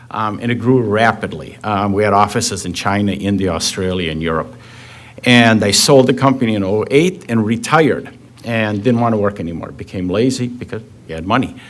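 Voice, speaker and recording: A man's fairly low voice at a fairly quick pace, ordinary pitch variation, and noticeable background noise. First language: not English. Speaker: real estate developer. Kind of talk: public meeting presentation. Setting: village plan commission meeting. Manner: casual, many fillers.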